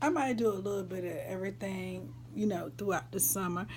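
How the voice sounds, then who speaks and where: A woman in an American accent, with audible room echo. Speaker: vlogger. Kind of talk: casual chat.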